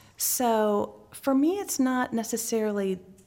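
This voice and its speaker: A woman's high-pitched voice with a dark, mellow tone and an American accent, on a very clean recording with a silent background. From Texas (Midland, Irving near Dallas). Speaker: gifted education professor and school head. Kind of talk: interview conversation. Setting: conference venue.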